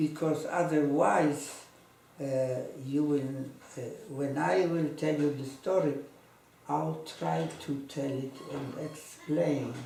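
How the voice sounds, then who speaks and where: Through audible room echo and noticeable background noise, a man with a fairly high pitch speaks at a very slow pace, with long, frequent pauses. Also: ordinary pitch variation. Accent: Polish. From Poland, Płock. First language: Polish. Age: 80s+. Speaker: Holocaust survivor. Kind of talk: testimony. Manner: halting.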